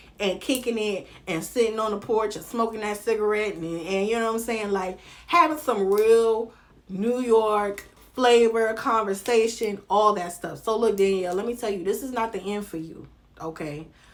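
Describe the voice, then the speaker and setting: A woman with a strong Southern US accent and a fairly high pitch, animated and lively in intonation, at a moderate pace with big swings in loudness and audible room echo. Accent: heavy Southern US. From North Carolina. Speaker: reality TV commentary vlogger. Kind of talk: casual vlog commentary.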